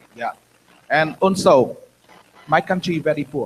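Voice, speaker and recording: A man with a Vietnamese accent speaks at a moderate pace in a high voice. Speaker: former political prisoner, activist. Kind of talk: interview testimony at a conference. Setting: conference with audience. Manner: halting.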